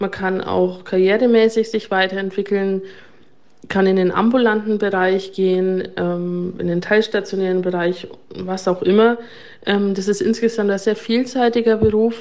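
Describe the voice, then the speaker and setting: Her pitch sits in the medium range for a woman, and the delivery is monotone and flat. Long pauses come often. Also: moderate pace. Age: 30s. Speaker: nurse and ward manager. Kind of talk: interview testimony.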